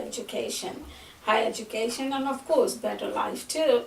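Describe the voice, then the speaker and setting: Moderate-paced speech from a woman over noticeable background noise. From Fiji. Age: 60s. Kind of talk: oral history interview answer.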